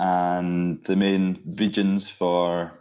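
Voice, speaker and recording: This man speaks in a very deep, low pitch. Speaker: local tour guide. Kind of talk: interview, informative chat. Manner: hesitant, many fillers.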